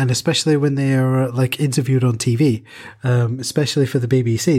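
On a very clean recording with a silent background, a man speaks fairly quickly at a medium pitch, with a dark, mellow tone, fairly even intonation, and a somewhat breathy quality. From England. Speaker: podcast co-host. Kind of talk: casual chat.

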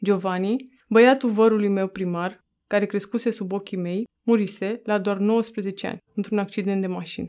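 On a very clean recording with a silent background, a woman at medium pitch speaks at a moderate pace in a dark, mellow tone with monotone, flat intonation. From Romania, Roma community. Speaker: author. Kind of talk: reading aloud.

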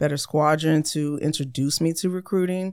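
Her pitch very deep and low, a woman with an American accent speaks in a monotone with flat intonation. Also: very clean recording, silent background. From US military family, raised abroad and in US. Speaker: Air Force recruiter. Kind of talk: casual interview.

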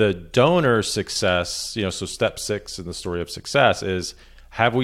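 A plain, everyday voice with lively intonation at a fairly slow pace, on a very clean recording with a silent background. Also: man. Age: 40s. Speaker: messaging and storytelling consultant. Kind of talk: podcast interview.

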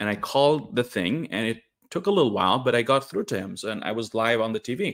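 On a very clean recording with a silent background, a man at medium pitch talks at a very fast pace with very wide pitch swings. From Norway. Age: 30s. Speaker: livestreamer sharing a personal story. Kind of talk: casual livestream monologue. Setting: live stream. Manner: animated, laughs often.

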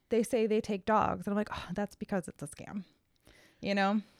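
Someone with an American accent speaks at a fairly quick pace in an ordinary speaking voice. The recording is very clean, with a silent background. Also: woman. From Connecticut, Cheshire. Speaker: real estate agent and podcast co-host. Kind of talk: casual chat.

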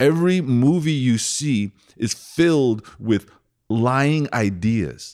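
This recording is very clean and the background silent. Pitch rises and falls across a very wide range. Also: man. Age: 40s. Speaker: podcast co-host. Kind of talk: casual chat.

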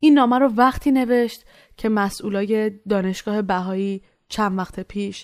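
Speaking in an ordinary speaking voice, a woman at a medium pitch uses ordinary pitch variation at a moderate pace in a very clean recording with a silent background. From Iran. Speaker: student podcast narrator. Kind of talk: scripted narration.

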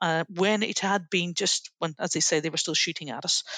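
With a Northern Irish accent, a bright, sharp voice speaks in a monotone, flat way, the sound dry and close with no echo over a quiet background. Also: woman. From Northern Ireland. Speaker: leadership trainer, former army officer. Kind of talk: interview.

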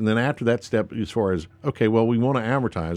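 Against a quiet background, a man with a North Carolina accent talks at a fairly quick pace at medium pitch with ordinary pitch variation. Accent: US Southern (North Carolina). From North Carolina, Lincoln County. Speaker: state politician. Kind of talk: radio interview. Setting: radio studio.

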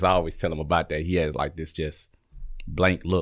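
A man with a Southern US accent speaks in a very deep, low pitch with fairly even intonation. The recording is very clean, with a silent background. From Alabama, Birmingham. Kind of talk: interview. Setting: studio.

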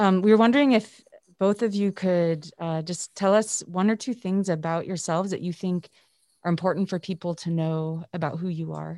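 A woman with a normal speaking voice talks fairly quickly at a fairly low pitch with ordinary pitch variation, in a very clean recording with a silent background. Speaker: physician and series partner. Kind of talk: moderated conversation.

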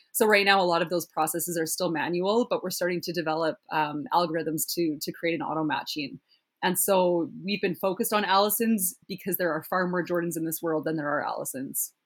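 At a fairly quick pace with hardly any pauses, this speaker has a plain, everyday voice, ordinary pitch variation, and a Canadian accent. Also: woman, fairly low pitch for a woman. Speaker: startup founder. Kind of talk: casual podcast interview.

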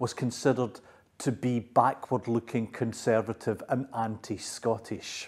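In a very clean recording with a silent background, a man with an ordinary speaking voice talks at medium pitch and a fairly slow pace. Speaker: academic commentator on Scots. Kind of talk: academic explanation.

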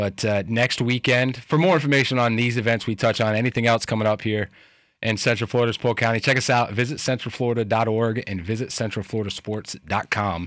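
The recording is very clean with a silent background. A man of medium pitch speaks very fast with fairly even intonation. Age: 30s. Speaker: sports radio host. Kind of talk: sports talk radio.

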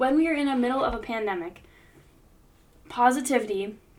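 Spoken at a moderate pace with an American accent, the voice shows ordinary pitch variation. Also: woman. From US. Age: 20s. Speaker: podcast host, university student. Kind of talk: scripted monologue.

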